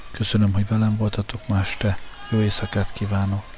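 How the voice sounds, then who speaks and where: A man speaks at a fairly low pitch with a Hungarian accent. Noticeable background noise runs under his voice. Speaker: radio host. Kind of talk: presenting a music show in Hungarian, introducing and commenting on songs.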